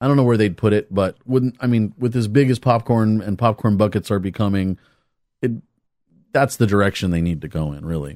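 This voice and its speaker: In a normal speaking voice, a man with a fairly low pitch and ordinary pitch variation talks at a fairly quick pace, captured on a very clean recording with a silent background and a dry, close sound with no echo. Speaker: podcast co-host. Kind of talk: casual chat.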